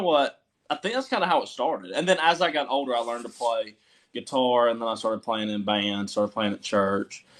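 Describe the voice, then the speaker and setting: Over a silent background in a very clean recording, a man with a Southern accent talks at medium pitch with ordinary pitch variation. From US South, Georgia (Milledgeville). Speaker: country musician. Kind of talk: casual interview chat.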